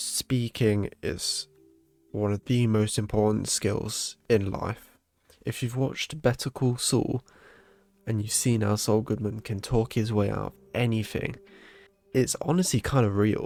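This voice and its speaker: In a British accent, the speaker talks at a fairly slow pace with fairly even intonation, on a very clean recording with a silent background and a dry, close sound with no echo. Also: man, medium pitch for a man. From Britain. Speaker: gaming podcaster. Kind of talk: casual gameplay monologue.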